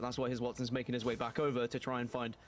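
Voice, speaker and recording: The clip features a man speaking with a British accent. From Britain. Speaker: esports caster. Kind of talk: live commentary.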